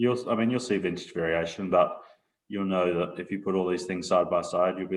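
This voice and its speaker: Speaking at a fairly quick pace, a man with an Australian accent has a very deep, low pitch and fairly even intonation. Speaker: winery proprietor. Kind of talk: casual interview.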